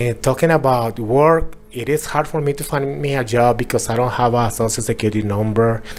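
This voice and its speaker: A man with a Mexican accent talks at a fairly quick pace with hardly any pauses, medium pitch, and ordinary pitch variation, with noticeable background noise behind him. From Mexico. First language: Spanish. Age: 40s. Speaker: interviewee sharing life with HIV. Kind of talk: personal testimony interview. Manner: halting, with repetitions.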